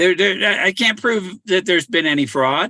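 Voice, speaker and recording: A man's bright, sharp tone rings out in a raised, projected voice. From California. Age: 60s. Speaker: treasure hunter and livestreamer. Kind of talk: casual livestream monologue. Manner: halting, many repetitions and restarts.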